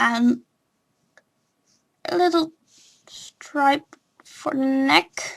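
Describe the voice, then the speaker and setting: A woman speaks at a very slow pace with a high pitch and ordinary pitch variation. Her speech has long, frequent pauses. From non-English-speaking country. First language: not English. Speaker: drawing tutorial youtuber. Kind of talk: tutorial. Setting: home recording with webcam. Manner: hesitant, many fillers.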